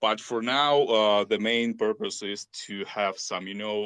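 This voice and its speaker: His pitch sits in the medium range for a man. He talks at a very slow pace. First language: not English. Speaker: crypto community member. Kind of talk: panel discussion. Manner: halting, many fillers.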